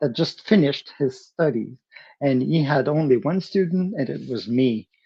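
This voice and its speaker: A man's fairly high voice with a Quebec accent, a fairly slow pace and ordinary pitch variation. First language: French. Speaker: percussionist. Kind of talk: interview. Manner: halting, many fillers and restarts.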